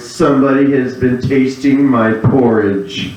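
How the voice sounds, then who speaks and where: A man performs a put-on character voice. A slight echo is audible. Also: medium pitch for a man, fairly slow pace. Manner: storytelling.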